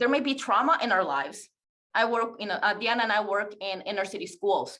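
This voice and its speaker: A woman talks with a non-native accent. Her tone is bright and sharp, her pace fairly quick. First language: not English. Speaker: teacher presenting a webinar. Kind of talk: webinar presentation.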